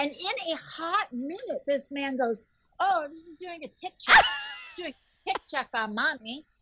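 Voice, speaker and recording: Raised and projected, a woman's high-pitched voice moves through very wide pitch swings in a dry, close sound with no echo. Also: big swings in loudness. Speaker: podcaster and sex toy shop owner. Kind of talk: casual interview chat. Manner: animated.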